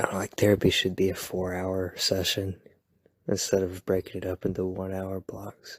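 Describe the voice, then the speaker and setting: Soft-spoken and somewhat breathy, a man talks at a moderate pace in a very deep, low pitch. The sound is dry and close, with no echo. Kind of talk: ASMR boyfriend roleplay. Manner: soft-spoken, rambling.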